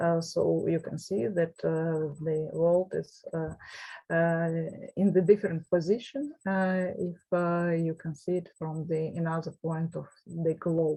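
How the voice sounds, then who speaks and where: At a very slow pace, a woman with a Russian accent speaks in a somewhat breathy voice, fairly low in pitch and monotone, with flat intonation. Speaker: professor. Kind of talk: lecture. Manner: halting.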